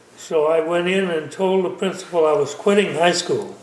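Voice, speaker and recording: High-pitched male speech with an American accent and fairly even intonation, at a moderate pace, with noticeable background noise. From Mendocino County, California. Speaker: vineyard owner and winemaker. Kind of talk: interview. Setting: home kitchen.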